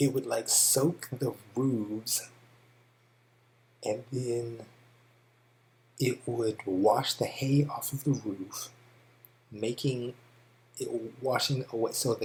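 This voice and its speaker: A man with an American accent, medium pitch, fairly even intonation and a somewhat breathy quality, speaking at a very slow pace with long, frequent pauses. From California. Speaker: English teacher. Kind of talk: tutorial. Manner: casual with many fillers.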